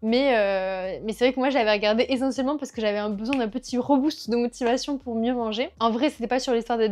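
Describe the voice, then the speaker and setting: Speaking very fast, a woman has a slight southwestern French accent and a fairly high pitch. Her intonation is fairly even, and the background is quiet. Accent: south-west French accent, slight. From rural south-west France. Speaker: culture vlogger. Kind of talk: casual monthly favourites vlog. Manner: casual, many hesitations.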